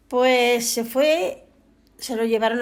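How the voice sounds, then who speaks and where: A woman talks in a high voice with fairly even intonation. The recording is very clean, with a silent background. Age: 80s+. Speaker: elderly villager. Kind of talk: testimony.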